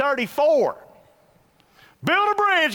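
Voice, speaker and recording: Using a raised, projected voice with a bright, sharp tone, a man speaks at a moderate pace with very wide pitch swings. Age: 50s. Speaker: pastor. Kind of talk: sermon. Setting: church.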